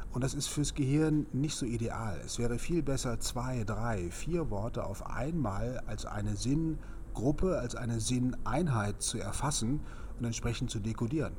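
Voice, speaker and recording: A man at medium pitch with vocal fry and ordinary pitch variation, at a fairly slow pace, with audible room echo. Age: 50s. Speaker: speed-reading trainer. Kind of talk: interview.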